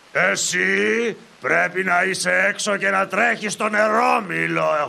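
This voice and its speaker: A man puts on a cartoonish character voice. He pitches it high. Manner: snide, mocking.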